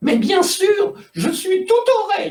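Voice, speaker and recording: A man's put-on character voice, extremely high-pitched and at a very slow pace. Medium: read story. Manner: theatrical, gushing.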